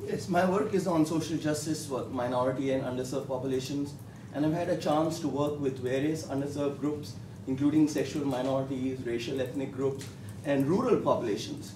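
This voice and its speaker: A man with an Indian accent speaks at a fairly quick pace and a fairly high pitch, with ordinary pitch variation. Noticeable background noise and audible room echo fill the recording. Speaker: professor. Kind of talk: panel discussion. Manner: halting, many fillers.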